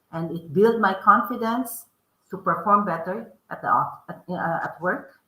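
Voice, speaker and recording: A woman speaks with a strong Filipino accent. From Philippines. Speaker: author and podcast host. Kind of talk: interview.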